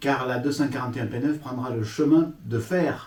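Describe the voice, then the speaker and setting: Speaking at a moderate pace with ordinary pitch variation, the voice comes through over noticeable background noise. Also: man. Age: old. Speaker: YouTube model-railway hobbyist host. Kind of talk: reading aloud; casual chat.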